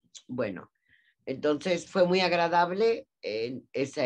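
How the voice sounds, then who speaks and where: A woman's words come very slowly over a quiet background. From Mexico. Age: 70s. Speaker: journalist. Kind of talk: interview. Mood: warm, friendly. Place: home room. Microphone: video call.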